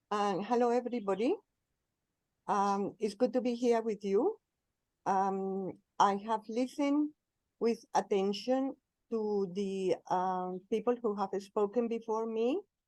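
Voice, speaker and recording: A woman's fairly high voice with a Colombian accent, at a fairly slow pace with long, frequent pauses and ordinary pitch variation. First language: Spanish. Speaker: spiritual speaker, cleric. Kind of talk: talk at interfaith forum. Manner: slow, deliberate.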